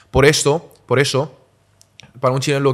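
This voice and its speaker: The pace is moderate. It is a man who talks. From Catalonia, Spain (partly raised in Wenzhou, China). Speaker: entrepreneur. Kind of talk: casual interview. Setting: family wok restaurant.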